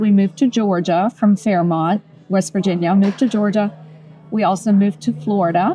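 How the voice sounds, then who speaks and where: A woman speaks in a somewhat breathy voice. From Germany. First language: German. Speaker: interior designer. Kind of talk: oral history interview.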